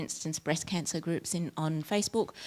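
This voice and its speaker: On a very clean recording with a silent background, a woman with an Australian accent speaks in a fairly low pitch. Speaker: academic researcher. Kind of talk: conference talk. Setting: workshop room with audience.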